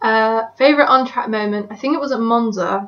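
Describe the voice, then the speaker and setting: Fairly high pitch from a woman with an English accent, fairly even intonation and moderate pace. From England. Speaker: motorsport fan vlogger. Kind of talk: casual monologue answering questions. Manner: hesitant, many fillers.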